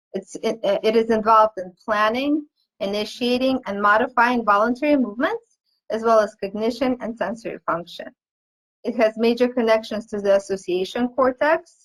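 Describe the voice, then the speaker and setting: A woman with a non-native accent at a moderate pace, with ordinary pitch variation. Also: fairly high pitch for a woman. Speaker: pediatric occupational therapist. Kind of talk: webinar lecture. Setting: online webinar. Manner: halting.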